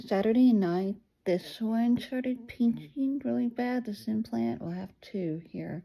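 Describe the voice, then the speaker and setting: Somewhat breathy, a woman's voice moves through very wide pitch swings. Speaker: vlogger. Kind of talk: video diary. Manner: halting.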